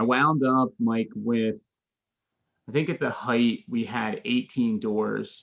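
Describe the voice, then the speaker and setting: A man with an American accent and a normal speaking voice talks at a fairly slow pace with fairly even intonation. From Philadelphia, Pennsylvania. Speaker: real estate investor. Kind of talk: interview.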